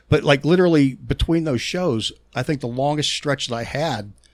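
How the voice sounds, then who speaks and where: A man with a strong Pittsburgh accent talks at a medium pitch. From Pittsburgh, Pennsylvania. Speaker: touring guitar technician. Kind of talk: casual podcast interview. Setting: studio. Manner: halting, frequent stutters and repeats.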